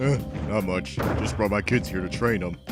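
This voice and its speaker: A put-on character voice moves at a moderate pace with clear music in the background. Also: man, very deep, low pitch for a man. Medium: machinima. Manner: gruff, blunt.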